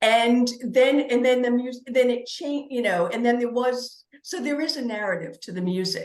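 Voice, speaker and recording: With hardly any pauses, a woman speaks at a moderate pace in a high pitch, her pitch varying an ordinary amount. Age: 60s. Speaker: author, podcast guest. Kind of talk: casual interview chat. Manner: halting with false starts.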